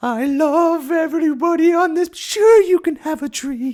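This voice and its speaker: Someone performs a put-on character voice at a high pitch on a very clean recording with a silent background. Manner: warm, benevolent, loving.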